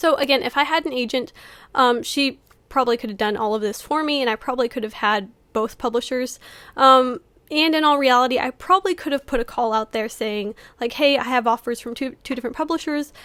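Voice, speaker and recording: A woman's high, bright, sharp voice at a fairly quick pace with ordinary pitch variation, in a very clean recording with a silent background. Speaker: author and YouTuber. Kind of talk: casual vlog talk to camera. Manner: fast; hesitant, many fillers.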